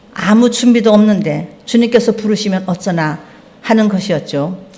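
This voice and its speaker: A woman talks at a moderate pace and medium pitch with ordinary pitch variation. There is audible room echo and noticeable background noise. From North Korea, Pyongyang. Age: 70s. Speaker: lay church member preaching. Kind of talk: sermon testimony. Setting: church service.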